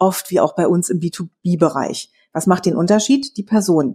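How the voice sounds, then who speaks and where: On a very clean recording with a silent background, a woman's somewhat breathy, medium-pitched voice has a dark, mellow tone, lively intonation and a moderate pace. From Berlin, Germany. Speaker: podcast co-host on sales. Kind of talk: casual chat. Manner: animated.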